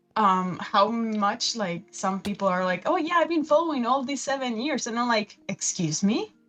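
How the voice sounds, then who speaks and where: A woman's fairly high voice with very wide pitch swings, at a moderate pace with hardly any pauses, over music in the background. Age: 20s. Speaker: fan artist and animation student. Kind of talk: casual chat. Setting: livestream. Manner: animated.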